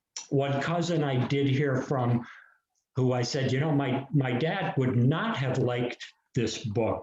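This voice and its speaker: An unremarkable speaking voice from a man, medium in pitch, at a fairly slow pace. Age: 60s. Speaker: author. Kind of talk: casual chat.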